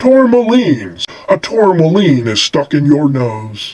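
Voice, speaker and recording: Putting on a character voice, a man talks at a fairly slow pace in a fairly high pitch that makes very wide swings. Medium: read story. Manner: pompous, deliberate.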